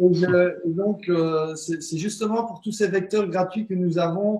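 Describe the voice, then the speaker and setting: Pitch moves in an ordinary way. Delivery comes at a very slow pace. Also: man. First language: not French (speaking French). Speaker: spiritual teacher and alternative healer. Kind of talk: interview on web broadcast. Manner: halting, many hesitations.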